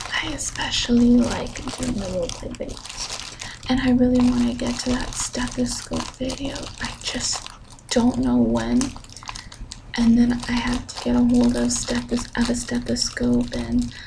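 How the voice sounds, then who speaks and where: Someone whispers softly at a fairly slow pace over noticeable background noise. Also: woman. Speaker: ASMR content creator; college student. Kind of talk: ASMR ramble update to camera. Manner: soft-spoken, whispered. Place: home room. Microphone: studio mic.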